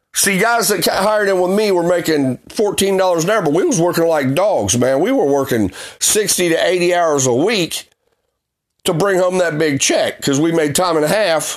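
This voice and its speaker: Speaking with a Southern US accent, a man with a high pitch goes at a moderate pace, with very even loudness and ordinary pitch variation. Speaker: podcast host and former auto worker. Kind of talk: ranting monologue.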